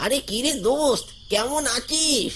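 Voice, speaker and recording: A high-pitched, cartoonish character voice over clear background noise. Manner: casual, familiar.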